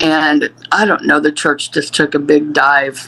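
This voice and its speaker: This voice is a woman's. Behind it lies noticeable background noise. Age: 60s. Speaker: abuse survivor. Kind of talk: testimony.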